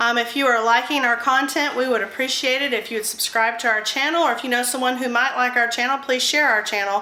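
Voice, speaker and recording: Speaking very fast in an American accent, a woman uses a high pitch, fairly even intonation, very even loudness and hardly any pauses. The recording has audible room echo and noticeable background noise. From US South. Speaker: cooking YouTuber. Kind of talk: casual cooking vlog.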